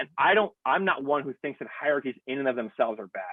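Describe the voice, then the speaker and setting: The speaker talks at a very fast pace with lively intonation. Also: man. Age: 40s. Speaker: pastor. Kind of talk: casual chat. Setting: video call. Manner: loud.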